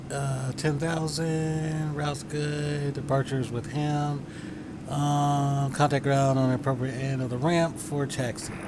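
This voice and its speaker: A man's fairly slow, monotone, flat delivery, with audible room echo and noticeable background noise. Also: fairly high pitch for a man. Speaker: flight sim streamer. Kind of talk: live game commentary. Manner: stuttering today.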